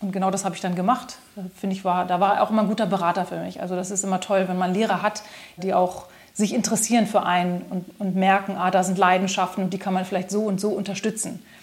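A woman speaks at a fairly quick pace with monotone, flat intonation against noticeable background noise. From Germany, Braunschweig. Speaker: singer, pianist and composer. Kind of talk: interview.

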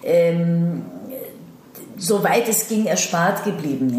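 A woman speaks at a fairly low pitch with ordinary pitch variation. Noticeable background noise and audible room echo are present. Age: 30s. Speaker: actress. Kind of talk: interview. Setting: in-person meeting.

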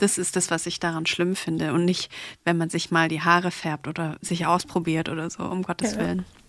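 In a very clean recording with a silent background, a woman talks at a fairly quick pace with monotone, flat intonation. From Stuttgart, southwest Germany. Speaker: hair salon founder. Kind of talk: casual chat.

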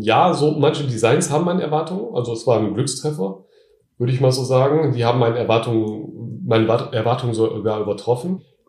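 Somewhat breathy, a man talks at a moderate pace in a medium pitch with ordinary pitch variation. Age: 30s. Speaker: online t-shirt seller, entrepreneur. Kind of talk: interview. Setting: in person at his home.

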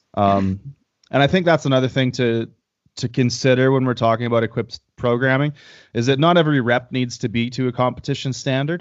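A man with a Canadian accent talks fairly quickly at a medium pitch in an unremarkable speaking voice. His pitch varies in an ordinary way. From Canada. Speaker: powerlifter and powerlifting coach. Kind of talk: casual interview.

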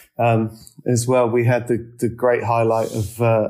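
Medium in pitch, a man speaks with an English accent. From England. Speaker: real estate managing director. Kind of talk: interview. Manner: hesitant, many fillers and repetitions.

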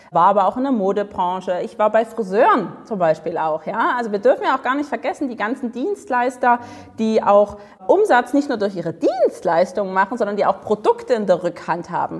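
An animated woman talks at a fairly quick pace with a fairly high pitch. Noticeable background noise is present. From Dresden, eastern Germany. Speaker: sales and charisma coach. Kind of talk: interview.

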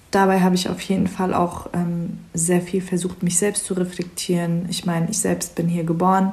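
A woman with a fairly low, somewhat breathy voice speaks at a moderate pace in a monotone, flat intonation, with hardly any pauses. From Germany. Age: 20s. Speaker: psychology student and refugee counselor. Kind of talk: casual chat.

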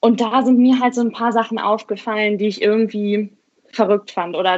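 The pace is fairly quick. It is an unremarkable speaking voice. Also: woman. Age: 20s. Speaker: blogger and doctoral law student. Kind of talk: interview conversation.

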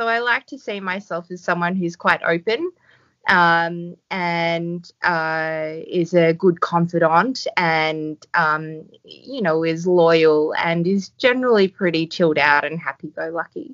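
A woman speaks at a very slow pace with hardly any pauses, her fairly low pitch showing ordinary variation. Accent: Australian. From Australia. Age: 30s. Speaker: doctor and yoga teacher. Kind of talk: casual interview.

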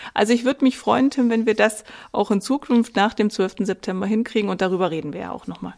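Talking at a very fast pace, a woman with a fairly high pitch and ordinary pitch variation shows vocal fry and big swings in loudness on a very clean recording with a silent background. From Saxony-Anhalt, eastern Germany (Wittenberg). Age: 40s. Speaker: mayoral candidate, podcast co-host. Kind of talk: casual chat.

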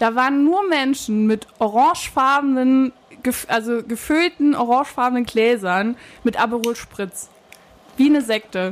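A high-pitched woman's voice at a fairly slow pace, with very even loudness and ordinary pitch variation. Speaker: podcast co-host. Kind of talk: casual chat. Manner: soft-spoken.

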